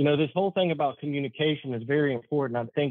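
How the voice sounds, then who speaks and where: Pitched fairly high, a man talks in a plain, everyday voice, his intonation fairly even. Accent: American. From US South, Charlotte, North Carolina. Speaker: municipal safety and risk manager. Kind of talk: interview.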